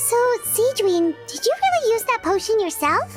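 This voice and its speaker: A woman's squeaky, put-on character voice at an extremely high pitch, lively in intonation and moderate in pace, over music in the background. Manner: surprised, questioning.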